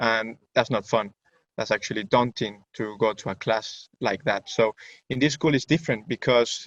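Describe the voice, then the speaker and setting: A man with a Spanish accent talks at a moderate pace in a medium pitch with ordinary pitch variation, the sound dry and close with no echo. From Venezuela. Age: 20s. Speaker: student. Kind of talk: webinar presentation. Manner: halting.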